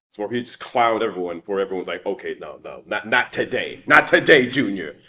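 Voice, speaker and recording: On a very clean recording with a silent background, a man speaks very fast in an animated tone with big swings in loudness. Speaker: voice actor, martial artist and streamer. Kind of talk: interview answer. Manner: casual, animated, conversational.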